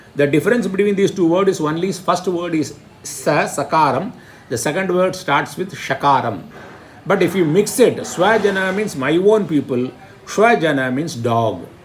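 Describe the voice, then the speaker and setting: This man has a high pitch for a man and lively intonation, speaking at a moderate pace with audible room echo. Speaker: Sanskrit teacher. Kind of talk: lecture.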